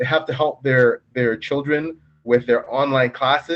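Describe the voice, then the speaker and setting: An animated tone carries this man's speech in a Canadian accent. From Canada. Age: 50s. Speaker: novelist. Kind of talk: casual interview chat.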